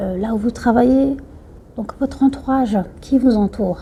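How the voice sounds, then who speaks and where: A woman with a Somali accent speaks at a fairly high pitch. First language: Somali (speaking French). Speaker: YouTuber giving life advice. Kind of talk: talk to camera, advice. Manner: hesitant, many fillers.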